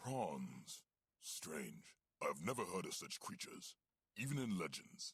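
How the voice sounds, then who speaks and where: A man speaks in a put-on character voice. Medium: video game. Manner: clipped, authoritative.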